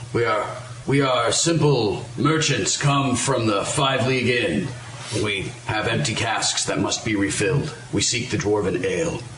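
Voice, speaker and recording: Over clear background noise, a man does a gravelly put-on character voice at medium pitch and a moderate pace. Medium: actual play. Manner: stiff, formal.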